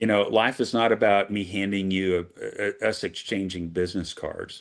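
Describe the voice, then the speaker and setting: At a moderate pace, the speech is heard on a very clean recording with a silent background. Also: man. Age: 50s. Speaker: business executive. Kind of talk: casual interview chat. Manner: halting, many fillers.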